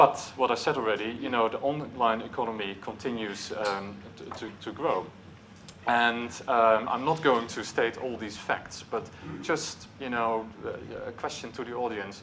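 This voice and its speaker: Speaking with a Dutch accent at a fairly slow pace, a man of medium pitch keeps his intonation fairly even while his loudness swings widely, with audible room echo and noticeable background noise behind him. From Netherlands. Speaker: marketing executive. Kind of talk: conference talk. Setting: stage with audience. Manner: hesitant, with filler words.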